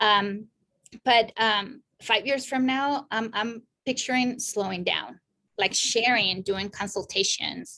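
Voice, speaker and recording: Speaking at a very slow pace, a woman has a fairly high pitch and a bright, sharp tone, with fairly even intonation against a quiet background. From Mexico. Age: 40s. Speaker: therapist. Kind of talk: interview. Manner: passionate.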